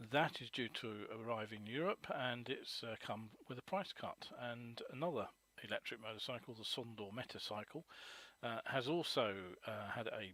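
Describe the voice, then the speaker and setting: With a British accent, a man speaks at a medium pitch. His tone is bright and sharp. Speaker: motorcycle news webcast host. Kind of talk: live webcast news roundup. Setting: live webcast. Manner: hesitant, many fillers.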